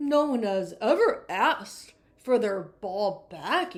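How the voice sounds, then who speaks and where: A gruff, put-on character voice at a fairly slow pace, with very wide pitch swings. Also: woman, fairly high pitch for a woman. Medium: read story.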